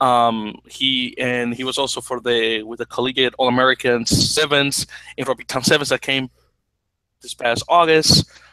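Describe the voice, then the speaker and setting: A man's monotone, flat delivery at a moderate pace. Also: medium pitch for a man. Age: 20s. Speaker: rugby podcast co-host. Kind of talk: casual chat. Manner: halting.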